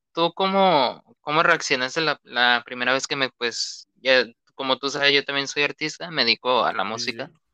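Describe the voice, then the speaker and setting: In a Mexican accent, a man speaks at a moderate pace with hardly any pauses, his fairly high voice bright and sharp in tone with ordinary pitch variation and big swings in loudness, the sound dry and close with no echo. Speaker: podcast host and music artist. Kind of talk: casual chat.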